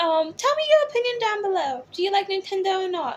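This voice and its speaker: The speech has an American accent and very wide pitch swings. Its pace is moderate. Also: woman. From California. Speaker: drag performer, YouTuber. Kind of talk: reading aloud with commentary. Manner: animated, camp.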